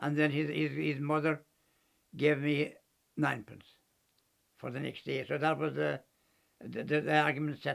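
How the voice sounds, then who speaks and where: A man with a Kerry accent speaks at a moderate pace, leaving long, frequent pauses. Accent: Kerry Irish. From County Kerry, Ireland. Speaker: former cyclist, acrobat and ventriloquist. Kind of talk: documentary interview answer. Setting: at home. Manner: hesitant, repetitive.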